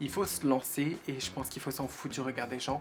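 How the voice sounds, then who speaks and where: A woman at a fairly quick pace. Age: 20s. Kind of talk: personal vlog talk. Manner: casual, halting with repetitions.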